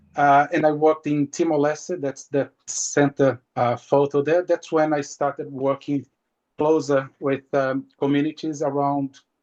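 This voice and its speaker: Speaking with a Portuguese accent at a fairly slow pace, this voice has a dry, close sound with no echo. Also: man. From Brazil. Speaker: marine scientist. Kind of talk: webinar presentation. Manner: halting.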